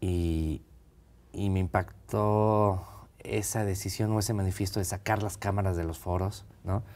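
A man speaks at a fairly slow pace in a very deep, low voice. His intonation stays fairly even. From central Mexico (Texcoco, State of Mexico); State of Mexico, Mexico. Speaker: film director; guest. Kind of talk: interview. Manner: halting, many repetitions. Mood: relaxed, reflective. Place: studio. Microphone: lapel.

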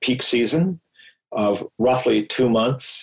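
Here a man speaks in an ordinary speaking voice of medium pitch. His pace is moderate. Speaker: engineer and long-distance hiker. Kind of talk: podcast interview.

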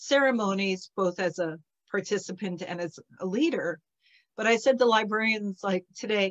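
A female speaker goes at a moderate pace, her pitch varying in an ordinary way, with quiet behind her. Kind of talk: casual talk to an online audience. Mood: warm, animated. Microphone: video call.

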